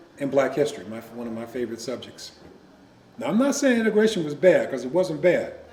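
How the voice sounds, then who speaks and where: The lively intonation comes through noticeable background noise and audible room echo. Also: man. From US Midwest, Joliet, Illinois. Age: 70s. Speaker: retired teacher and college professor. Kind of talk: interview.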